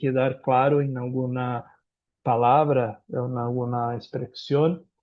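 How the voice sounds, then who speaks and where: A man talks at a very slow pace. He has a Brazilian accent. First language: Portuguese (speaking Spanish). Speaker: lawyer and professor. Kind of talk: conference talk. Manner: halting.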